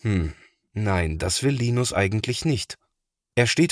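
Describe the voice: Read aloud in a plain way with lively intonation over a quiet background.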